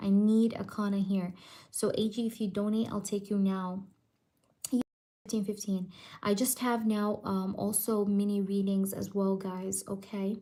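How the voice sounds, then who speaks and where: Quiet and somewhat breathy, a woman speaks at a fairly slow pace in a medium pitch, her tone dark and mellow and her intonation monotone and flat. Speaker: tarot reader. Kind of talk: live stream tarot reading. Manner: quiet, lowered voice; casual, filler-heavy.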